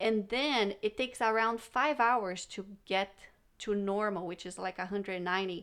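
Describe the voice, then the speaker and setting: Her pitch sits at a medium level with ordinary variation. The woman speaks very slowly with a non-native accent. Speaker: guest, co-host. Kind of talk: casual chat.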